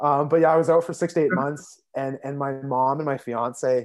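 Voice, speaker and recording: A man with a Canadian accent speaks in an unremarkable speaking voice, fairly high in pitch with ordinary pitch variation. The recording is very clean and the background silent. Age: 20s. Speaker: social services caseworker. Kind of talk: casual interview.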